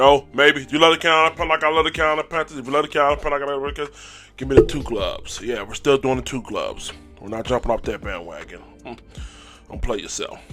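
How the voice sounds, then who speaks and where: A man talks at a very fast pace with a bright, sharp tone. His pitch sits fairly high, with vocal fry. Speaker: sports fan YouTuber. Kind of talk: casual sports recap vlog. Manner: animated.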